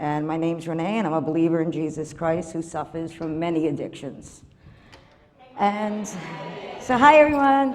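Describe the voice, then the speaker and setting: In an American accent, a woman with fairly low pitch speaks at a moderate pace with lively intonation and long, frequent pauses. Audible room echo and noticeable background noise fill the recording. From Massachusetts, Revere (US New England). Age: 60s. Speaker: recovery program member giving testimony. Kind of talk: testimony. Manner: halting, many fillers.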